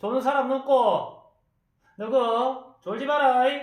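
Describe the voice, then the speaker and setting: In a gruff put-on character voice at an extremely high pitch, a man speaks slowly in a monotone, flat intonation. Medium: audio drama. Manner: blunt, gruff, scolding.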